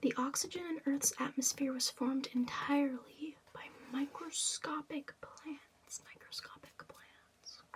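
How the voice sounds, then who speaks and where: Soft-spoken whispering at a fairly slow pace comes with big swings in loudness and hardly any pauses, over noticeable background noise. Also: woman. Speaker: ASMR content creator. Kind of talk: ASMR rambling facts, reading aloud. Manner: whispered, soft-spoken.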